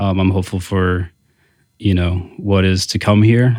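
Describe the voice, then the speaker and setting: A man with an American accent has a very deep, low pitch. His intonation is monotone and flat. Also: very clean recording, silent background. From Indiana, South Bend. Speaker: entrepreneur and restaurant co-owner. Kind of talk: interview. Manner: hesitant, many fillers.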